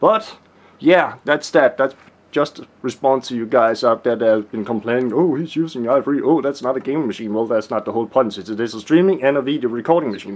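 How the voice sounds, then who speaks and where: Fairly quick speech with ordinary pitch variation in a strong Danish accent. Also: man, medium pitch for a man. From Denmark. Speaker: tech YouTuber. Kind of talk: casual video tutorial. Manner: hesitant, many fillers.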